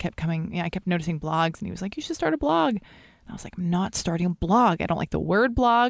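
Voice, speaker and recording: At a very fast pace, a woman with a Californian accent talks on a very clean recording with a silent background, the sound dry and close with no echo. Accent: Californian American. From Los Angeles. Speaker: blogger and podcaster. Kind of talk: casual interview chat. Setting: studio in a comic book shop.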